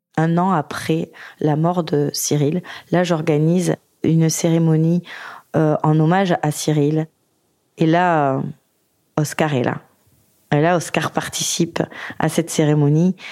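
A woman's very deep, low voice, dark and mellow, very slow with long, frequent pauses, monotone, flat intonation and very even loudness. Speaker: widowed single mother. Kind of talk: testimony. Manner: halting.

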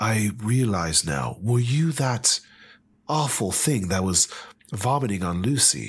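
Somewhat breathy, a man with a fairly low pitch speaks at a very slow pace with lively intonation. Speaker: player in a tabletop roleplaying game.

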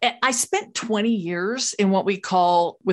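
A woman with an American accent speaks in a plain, everyday voice at medium pitch. Her intonation is lively. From Los Angeles, California. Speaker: keynote speaker and author. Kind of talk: casual interview.

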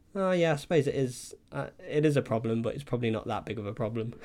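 A man speaks at a medium pitch. His pace is very fast. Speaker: podcast host. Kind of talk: casual chat. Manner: casual, chatty.

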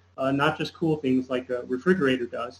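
Over music in the background, a man speaks with a General American accent at a moderate pace with fairly even intonation. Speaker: environmental activist and engineer. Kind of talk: interview.

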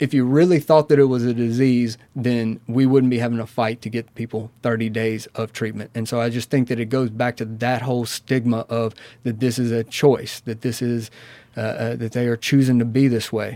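Monotone and flat in intonation, a man speaks with a dark, mellow tone. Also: medium pitch for a man, moderate pace. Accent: Southern US. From US South, Mississippi. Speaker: addiction counselor. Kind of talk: interview.

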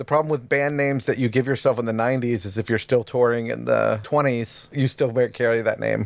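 At a fairly quick pace with hardly any pauses, a man talks in an unremarkable speaking voice, medium in pitch with ordinary pitch variation. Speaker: podcast co-host. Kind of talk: casual chat.

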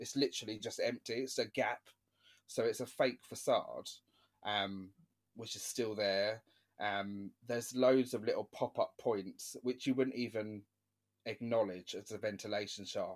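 A man's fairly slow voice on a very clean recording with a silent background. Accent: London. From London area, England. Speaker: podcast host. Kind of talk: casual interview chat.

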